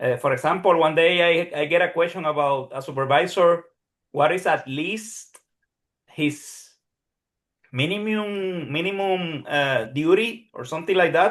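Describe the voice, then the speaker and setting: A man with a Puerto Rican accent speaks at a high pitch and a fairly slow pace. His pitch varies in an ordinary way. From Puerto Rico. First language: Spanish. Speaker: psychologist who passed licensing exam, neuroscience teacher. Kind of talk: Q&A session testimony. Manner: halting, many repetitions.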